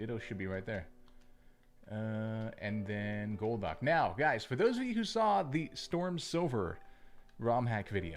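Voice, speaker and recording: A man of medium pitch speaks at a fairly slow pace with lively intonation. His is an unremarkable speaking voice. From Canada. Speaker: gaming streamer. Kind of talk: live gameplay commentary with chat. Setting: livestream. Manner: casual, conversational.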